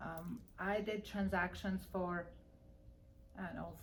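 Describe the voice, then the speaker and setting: Audible room echo surrounds a woman speaking very slowly at a medium pitch with monotone, flat intonation. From Armenia. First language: Armenian. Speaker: real estate broker. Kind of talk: interview.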